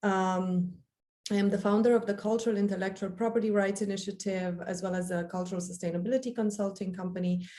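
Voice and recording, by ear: Speaking at a fast pace, a woman has a medium pitch, a dark, mellow tone, and fairly even intonation.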